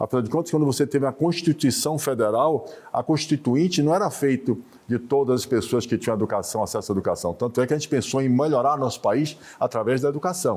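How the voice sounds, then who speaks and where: His pitch is fairly high and varies in an ordinary way. The man talks very fast. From Bahia, Brazil. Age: 60s. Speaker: business association president. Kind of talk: interview.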